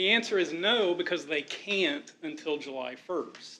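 A man speaks loudly in a high voice with a bright, sharp tone, keeping a moderate pace and ordinary pitch variation. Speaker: school district staff. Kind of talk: board meeting explanation.

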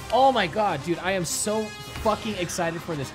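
Noticeable noise sits behind a man as he talks. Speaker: gaming youtuber. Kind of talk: casual vlog chat. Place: home room. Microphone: studio mic.

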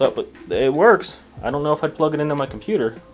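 A man speaks at a fairly quick pace while faint music sits in the background. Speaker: tech reviewer. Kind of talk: casual product review chat. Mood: dry, mildly unimpressed. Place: home room. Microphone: camera far.

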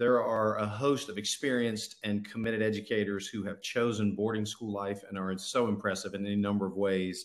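Against a quiet background, a man with a fairly low pitch speaks at a fairly quick pace in a monotone, flat intonation, with hardly any pauses. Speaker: school administrator; presenter. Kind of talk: presentation. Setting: video call. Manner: formal. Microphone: video call.

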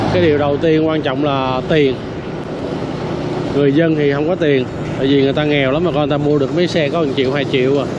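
There is noticeable background noise. The sound is dry, with no echo. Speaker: street vlogger. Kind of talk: casual commentary. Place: motorbike.

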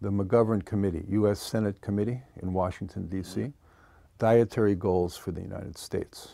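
The tone is dark and mellow, with fairly even intonation. The sound is dry with no echo over a quiet background. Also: man. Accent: Philadelphia. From Philadelphia, US. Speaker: macrobiotics teacher. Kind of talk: TV interview. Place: studio. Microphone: lapel.

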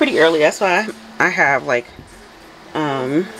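A woman with a fairly low pitch and a fairly bright tone speaks with big pitch swings.

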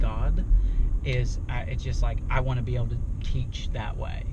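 Over loud background noise, a man speaks with a dry sound that has no echo. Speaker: interview guest. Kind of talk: interview answer. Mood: relaxed, thoughtful. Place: car. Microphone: camera far.

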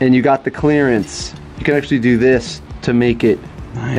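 Faint music plays in the background as a man speaks. His pace is fairly quick, with ordinary pitch variation. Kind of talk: tutorial. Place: garage. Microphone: phone near.

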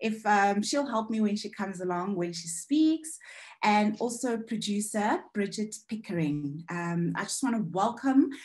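A somewhat breathy woman's voice with lively intonation, a fairly slow pace and a quiet background. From South Africa, Eastern Cape. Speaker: panel moderator, filmmaker. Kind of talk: online panel discussion. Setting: video call. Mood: warm, relaxed. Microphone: video call.

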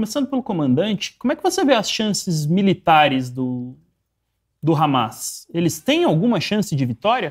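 A man talks at a moderate speed, and the background stays quiet. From Brazil. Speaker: show moderator; program host. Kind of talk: live political discussion. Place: studio. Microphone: lapel.

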